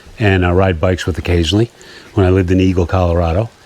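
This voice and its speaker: Heard over noticeable background noise, a man speaks with a very deep, low pitch. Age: 60s. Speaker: fishing YouTuber. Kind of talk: personal testimony vlog. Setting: outdoors at a camp in rain.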